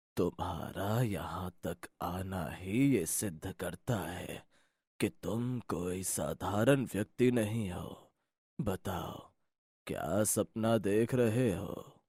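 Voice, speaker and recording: In a cartoonish character voice, a man speaks very slowly at a fairly low pitch, in a dry, close sound with no echo on a very clean recording with a silent background. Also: ordinary pitch variation. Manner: grave, mystical.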